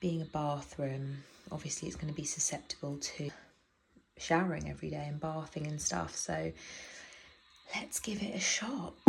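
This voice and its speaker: A soft-spoken woman with a British accent talks at a moderate pace in a very deep, low pitch with vocal fry, ordinary pitch variation, and long, frequent pauses. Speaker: home renovation vlogger. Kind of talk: casual DIY vlog. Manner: soft-spoken, quiet.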